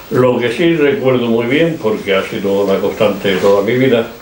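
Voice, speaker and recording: Amid noticeable background noise and audible room echo, a man at a medium pitch talks at a moderate pace with lively intonation. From Spain, Granada (Andalusia). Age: 80s+. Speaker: poet. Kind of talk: interview at a literary event. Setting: bookstore event with audience. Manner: halting, with many fillers.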